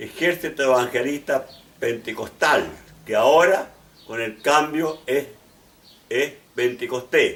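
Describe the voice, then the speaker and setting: A man with a fairly high voice, very slow pace, and ordinary pitch variation. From Chile, Valparaíso region. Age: 80s+. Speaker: pastor and bishop. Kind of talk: testimony. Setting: at home. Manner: halting, with restarts.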